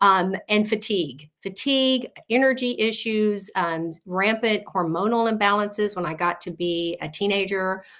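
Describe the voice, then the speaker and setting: A woman with an ordinary speaking voice talks at medium pitch and a moderate pace, with ordinary pitch variation and hardly any pauses, on a very clean recording with a silent background. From South Texas, near Corpus Christi. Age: 60s. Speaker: health coach. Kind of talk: interview.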